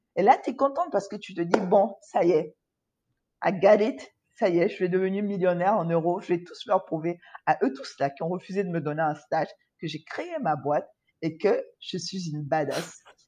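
The voice has a dark, mellow tone, ordinary pitch variation and big swings in loudness. It moves at a moderate pace against a quiet background. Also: woman, medium pitch for a woman. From Ivory Coast. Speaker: entrepreneur. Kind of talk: interview. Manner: hesitant, frequent fillers and repetitions.

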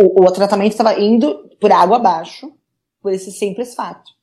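A woman's medium-pitched voice comes across with a dark, mellow tone. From São Paulo city, Brazil. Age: 20s. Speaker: nurse and cancer patient. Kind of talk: interview.

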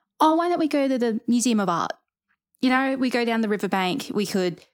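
A woman with an Australian accent and lively intonation, on a very clean recording with a silent background. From Rockhampton, central Queensland, Australia. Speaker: museum trainee. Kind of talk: casual interview.

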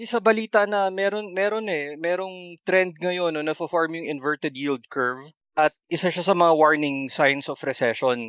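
A man with a high pitch and lively intonation speaks at a moderate pace against a quiet background, the sound dry and close with no echo. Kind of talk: casual chat.

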